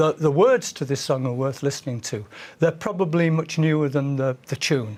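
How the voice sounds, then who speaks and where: The speaker has a Manchester accent. The pace is moderate. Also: man. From northern England, Manchester. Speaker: folk singer. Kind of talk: interview.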